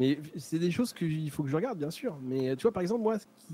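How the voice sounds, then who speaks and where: A man's dark, mellow tone at a fairly high pitch, moving at a fairly quick pace. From France, Charente-Maritime. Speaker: streamer. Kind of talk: casual chat. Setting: live stream.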